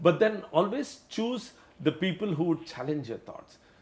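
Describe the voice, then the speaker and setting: With lively intonation and a high pitch, a man talks at a moderate pace amid noticeable background noise. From India, Mumbai. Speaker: company executive. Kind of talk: interview. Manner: halting.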